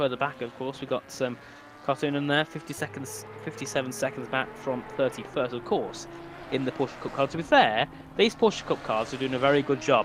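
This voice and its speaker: A man with a fairly high pitch and ordinary pitch variation speaks at a fairly quick pace amid noticeable background noise. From UK. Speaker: sim racing commentator. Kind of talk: live commentary. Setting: live stream. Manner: casual, chatty.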